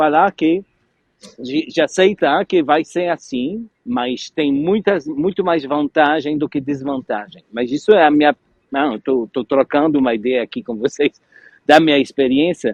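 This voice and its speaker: The pace is fairly slow. The speaker has a non-native accent. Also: man, fairly high pitch for a man, ordinary pitch variation. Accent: foreign accent in Portuguese. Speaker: French teacher, interviewer. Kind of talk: interview. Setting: live stream.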